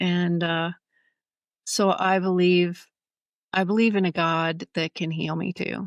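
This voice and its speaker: Speaking at a very slow pace with long, frequent pauses, a woman with a fairly low pitch keeps a monotone, flat intonation, recorded dry and close with no echo against a quiet background. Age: 60s. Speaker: nutritionist and author living with chronic pain. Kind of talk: podcast interview.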